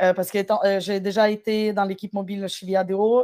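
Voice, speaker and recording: In a very clean, dry, close recording with no echo and a silent background, a woman with a medium pitch and a dark, mellow tone speaks at a fairly slow pace. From Ukraine. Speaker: web and mobile developer, agency founder. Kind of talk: interview.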